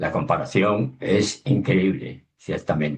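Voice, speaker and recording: A man's very deep, low voice, somewhat breathy. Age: 60s. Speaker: underwater documentary filmmaker. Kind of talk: webinar talk.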